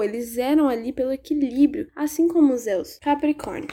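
A woman speaks with a high pitch and a dark, mellow tone. Her pace is moderate. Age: 20s. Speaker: podcast host, history student. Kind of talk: casual solo podcast monologue.

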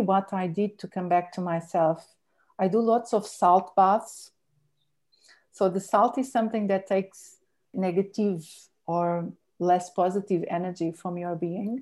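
Against a quiet background, a woman with a dark, mellow tone speaks at a fairly slow pace with fairly even intonation. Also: medium pitch for a woman. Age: 40s. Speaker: akashic record reader and spiritual guide. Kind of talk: casual interview chat about spirituality and rituals. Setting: video call.

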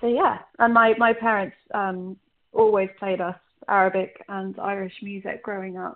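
The speaker has a London accent and monotone, flat intonation. The pace is moderate, with big swings in loudness. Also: woman, medium pitch for a woman. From London, England (partly Ireland). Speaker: singer-songwriter. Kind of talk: interview. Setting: phone call.

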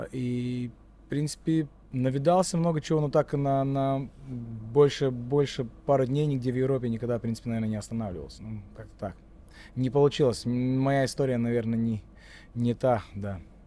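With a Latvian accent, a man talks at a moderate pace in a medium pitch, his dark, mellow tone carrying ordinary pitch variation and long, frequent pauses. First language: Latvian (speaking Russian). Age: 40s. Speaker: rapper. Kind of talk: casual chat. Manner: halting.

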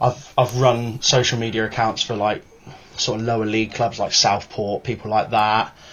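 A man with a plain, everyday voice speaks at medium pitch and a moderate pace. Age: 20s. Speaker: football fans' council spokesman. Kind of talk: casual chat.

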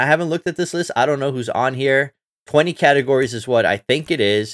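A man speaks fast at a medium pitch with lively intonation, on a very clean recording with a silent background.

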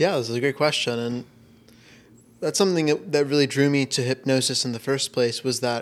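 With fairly even intonation and a medium pitch, this man talks in an ordinary speaking voice. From Florida. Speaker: hypnotherapist. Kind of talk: casual interview. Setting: in person.

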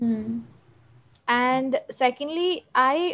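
The speaker is a woman. She talks in a high register. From India. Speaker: lawyer and mental health advocate. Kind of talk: interview. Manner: calm.

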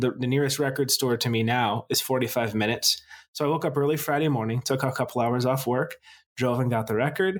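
With an American accent, a man talks at a very fast pace in a medium pitch, his loudness very even and his pitch variation ordinary. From United States. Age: 30s. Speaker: podcast host, music fan. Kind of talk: casual chat.

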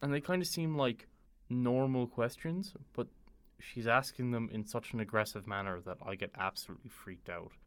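In a very clean recording with a silent background, a man with an Irish accent speaks at a moderate pace, using a medium pitch and lively intonation. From Ireland. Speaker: university student and traveller. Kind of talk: casual storytelling interview.

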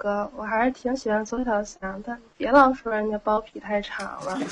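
A woman with a plain, everyday voice speaks at a moderate pace with hardly any pauses. Her loudness swings widely. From Tianjin. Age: 20s. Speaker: caller. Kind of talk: casual chat. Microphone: poor mic, no sound card plugged in.

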